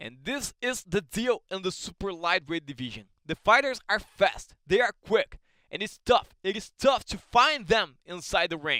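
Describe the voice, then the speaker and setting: In a Brazilian Portuguese accent, a man with a high pitch speaks at a moderate pace in a raised, projected voice, his tone bright, sharp and animated, his intonation lively and his loudness swinging widely, with a dry, close sound and no echo. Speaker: combat sports commentator. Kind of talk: live commentary.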